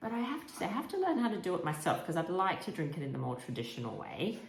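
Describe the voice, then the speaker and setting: Against noticeable background noise and audible room echo, a woman speaks with an Australian accent. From Australia, Sydney. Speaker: history podcaster and content creator. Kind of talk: casual vlog talk. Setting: at home, kitchen.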